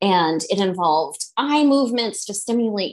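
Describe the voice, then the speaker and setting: Slowish in pace, a woman with an American accent has an unremarkable speaking voice at medium pitch. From central Massachusetts. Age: 40s. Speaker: psychic and energy healer. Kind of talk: interview.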